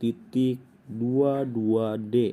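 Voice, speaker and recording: The speaker is a man. He sounds dark and mellow in tone. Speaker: engineering student. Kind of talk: lecture. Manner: halting.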